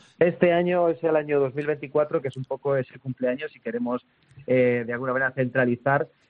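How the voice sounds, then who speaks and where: A man's medium-pitched, ordinary speaking voice at a fairly quick pace with fairly even intonation. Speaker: rock musician. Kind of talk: interview.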